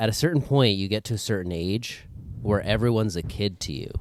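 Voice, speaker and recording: Talking very fast with ordinary pitch variation, a man is heard on a very clean recording with a silent background. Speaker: comedian. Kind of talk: casual chat. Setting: studio. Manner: soft-spoken, normally hard to hear; trying to talk louder.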